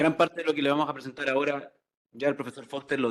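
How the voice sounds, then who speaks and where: Speaking at a very fast pace, the man keeps his intonation fairly even. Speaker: economist presenter. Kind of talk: conference presentation. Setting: conference hall with audience.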